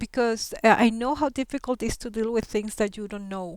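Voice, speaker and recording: In a Colombian accent, a woman talks at a moderate pace, with a dry, close sound with no echo and a very clean recording on a silent background. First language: Spanish. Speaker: settlement worker and interpreter. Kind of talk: class talk about her career. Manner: hesitant, many fillers.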